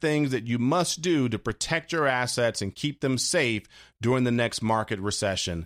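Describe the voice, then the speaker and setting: A man's medium-pitched voice. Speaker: financial advisor and radio host. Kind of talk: scripted infomercial-style sales pitch for retirement products. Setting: studio. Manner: smooth, persuasive salesman cadence with rhetorical questions; urgent, repetitive call-to-action reading out phone numbers.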